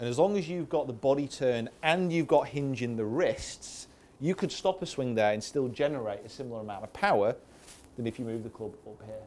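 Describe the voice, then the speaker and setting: A man of medium pitch speaks at a fairly quick pace, with lively intonation and big swings in loudness. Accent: Manchester. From northern England, Greater Manchester. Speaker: golf coach. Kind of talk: golf show chat. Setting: indoor golf studio with audience.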